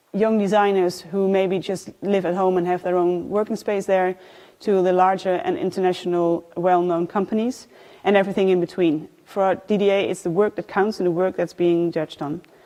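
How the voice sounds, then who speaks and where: In a Dutch accent, a woman speaks at a moderate pace and medium pitch, her tone dark and mellow and her intonation flat and monotone, against a quiet background. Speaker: design awards programme manager. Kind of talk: presentation. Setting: live event with audience. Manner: halting, many fillers.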